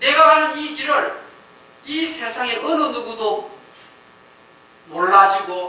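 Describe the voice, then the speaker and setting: A man's raised, projected voice with very wide pitch swings, audible room echo and noticeable background noise. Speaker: pastor. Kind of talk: sermon.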